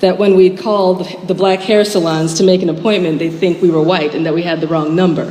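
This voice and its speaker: A woman with an American accent, medium-pitched, at a moderate pace, with noticeable background noise and audible room echo. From US Midwest, Chicago suburb. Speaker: writer. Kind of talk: speech.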